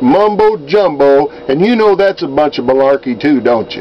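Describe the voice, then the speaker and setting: Over noticeable background noise, a man with an American accent and a fairly high pitch talks at a moderate pace. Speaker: write-in political candidate. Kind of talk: direct-to-camera video message. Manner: casual, folksy.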